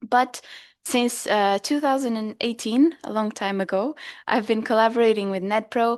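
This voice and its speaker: Over a quiet background, a woman with a fairly high voice talks at a moderate pace, her intonation fairly even. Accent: Portuguese. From Portugal. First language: Portuguese. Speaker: dietitian. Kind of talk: workshop talk. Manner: hesitant, with fillers.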